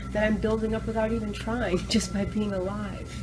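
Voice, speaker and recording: Music plays behind a woman whose voice carries audible room echo. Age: 60s. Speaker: raw food restaurateur and educator. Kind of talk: interview. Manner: animated.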